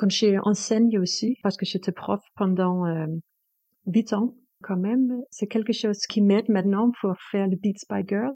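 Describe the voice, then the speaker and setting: With a Danish accent, a woman of medium pitch and a dark, mellow tone speaks at a fairly slow pace, the sound dry and close with no echo over a quiet background. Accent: Danish accent in French, sing-song. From Denmark. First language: Danish (speaking French). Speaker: composer and performer. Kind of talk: interview. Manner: halting, hesitant non-native French.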